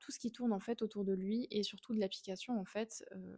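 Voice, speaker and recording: A woman talks with a fairly high pitch. Her tone is dark and mellow. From Switzerland, canton of Fribourg. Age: 20s. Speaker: equine behaviourist and podcast host. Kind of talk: podcast monologue.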